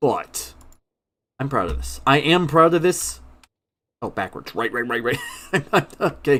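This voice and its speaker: Pausing long and often, a man speaks at a very slow pace with vocal fry and a medium pitch. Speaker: gaming streamer. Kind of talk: live stream commentary. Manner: casual.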